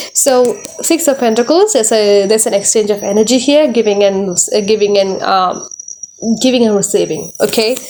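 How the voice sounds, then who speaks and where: A woman's fairly high-pitched voice at a fairly quick pace, with very even loudness and ordinary pitch variation, over noticeable background noise. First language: not English. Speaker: tarot reader. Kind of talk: tarot reading monologue. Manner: halting, many fillers and repetitions.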